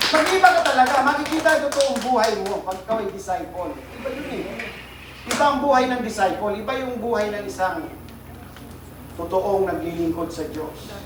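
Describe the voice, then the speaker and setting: A man at extremely high pitch talks at a moderate pace with very wide pitch swings and big swings in loudness, amid noticeable background noise and audible room echo. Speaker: pastor. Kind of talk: sermon. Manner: sounds like always angry; animated.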